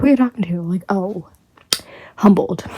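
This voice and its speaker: Quiet and whispering, a woman rushes at a very fast pace in a dry, close sound with no echo. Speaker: YouTuber. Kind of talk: unboxing haul vlog. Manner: whispering, quiet; animated.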